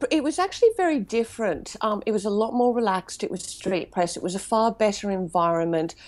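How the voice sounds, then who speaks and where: Over a silent background in a very clean recording, a woman talks at a very fast pace with lively intonation. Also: fairly high pitch for a woman, hardly any pauses. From Queensland, Australia. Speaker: music PR company director. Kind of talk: interview.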